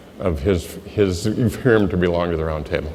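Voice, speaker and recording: With a Midwestern American accent, a man speaks at a moderate pace. Room echo can be heard. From US Midwest, Iowa. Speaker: insurance agent. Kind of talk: motivational speech.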